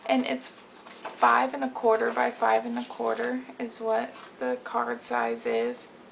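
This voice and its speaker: A soft-spoken woman talks at a very slow pace. Noticeable background noise runs beneath her. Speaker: craft video maker. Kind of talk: tutorial. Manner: casual.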